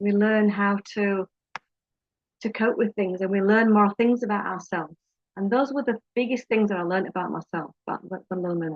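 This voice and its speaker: Talking at a fairly quick pace, a woman speaks with a British accent. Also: medium pitch for a woman, ordinary pitch variation. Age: 50s. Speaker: life coach. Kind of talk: personal vlog talk. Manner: halting.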